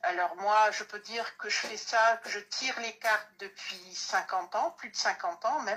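With hardly any pauses, a woman with a fairly high pitch and ordinary pitch variation talks over noticeable background noise. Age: 60s. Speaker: card reader, medium. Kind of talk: casual live-stream chat.

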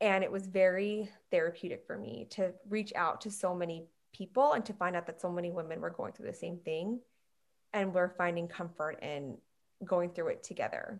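The pace is moderate, with an American accent. It is an unremarkable speaking voice. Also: woman, medium pitch for a woman, ordinary pitch variation. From Long Island, New York. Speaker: emergency medicine physician. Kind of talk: casual interview.

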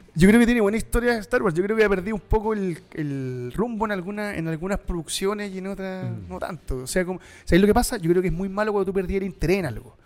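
With a Chilean accent, a man speaks very fast at a high pitch with hardly any pauses, ordinary pitch variation and big swings in loudness. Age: 40s. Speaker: podcast host. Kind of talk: casual chat.

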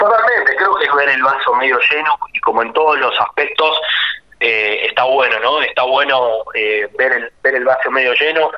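Over noticeable background noise, a man speaks at a moderate pace with very even loudness. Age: 30s. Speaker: agricultural management consultant. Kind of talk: radio interview.

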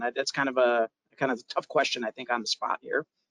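This man's pace is fairly quick. The sound is dry and close, without any echo. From US, immigrant from Europe at age two. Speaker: podcast host. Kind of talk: casual interview.

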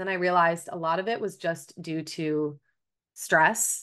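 A woman's bright, sharp, fairly low voice against a quiet background. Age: 20s. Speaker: registered dietitian. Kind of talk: interview conversation. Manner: animated.

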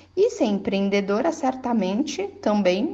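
A woman's somewhat breathy voice comes at a fairly slow pace. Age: 30s. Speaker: entrepreneur and mother sending a testimony. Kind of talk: recorded testimony.

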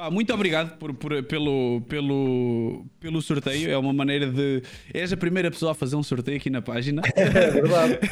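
With hardly any pauses, a man talks at a moderate pace in an ordinary speaking voice, fairly high in pitch, with ordinary pitch variation. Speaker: streamer talk show host. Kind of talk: interview conversation. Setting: home studio, livestream.

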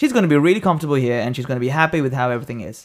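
Delivered at a very fast pace, the speech has lively intonation. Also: man, medium pitch for a man.

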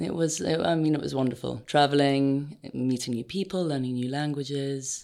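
The voice has a dark, mellow tone and ordinary pitch variation, moving at a moderate pace with hardly any pauses. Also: woman, very deep, low pitch for a woman. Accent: RP. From England, London. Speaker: footwear designer. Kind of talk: interview.

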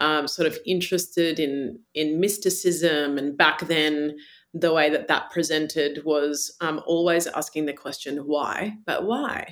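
A woman with a very deep, low pitch and an Australian accent. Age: 40s. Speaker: meditation teacher. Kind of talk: interview conversation.

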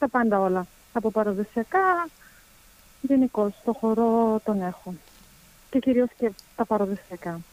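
With a dry, close sound and no echo, a woman speaks at a fairly high pitch and fairly slow pace, leaving long, frequent pauses. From Germany. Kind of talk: interview. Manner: hesitant.

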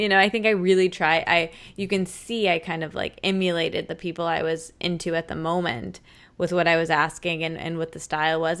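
With an American accent, a woman speaks in a normal speaking voice at a fairly quick pace and fairly low pitch, on a very clean recording with a silent background. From Michigan. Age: 20s. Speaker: podcaster and author. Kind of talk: casual interview.

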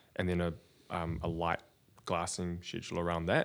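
On a very clean recording with a silent background, a man speaks at a very deep, low pitch. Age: 30s. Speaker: surfboard maker. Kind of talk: casual interview.

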